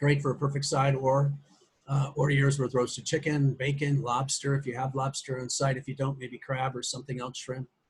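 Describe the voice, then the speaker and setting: Speaking fairly quickly in an American accent, a man with a fairly high pitch sounds somewhat breathy and keeps a flat, monotone delivery. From US Midwest. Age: old. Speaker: social media marketer. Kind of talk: business call pitch. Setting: conference call. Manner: fast.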